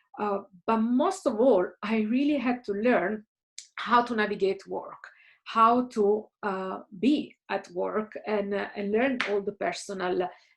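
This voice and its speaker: The speaker has an Italian accent and talks at a very slow pace with ordinary pitch variation. The background is quiet. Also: woman, fairly high pitch for a woman. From Italy, Caserta near Naples. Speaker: career coach / guest speaker. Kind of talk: recorded talk to students. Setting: home office.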